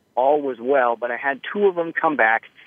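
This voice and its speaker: Moving at a fairly quick pace, a man uses a normal speaking voice with fairly high pitch and ordinary pitch variation. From northern Idaho. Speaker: gunsmith. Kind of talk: interview.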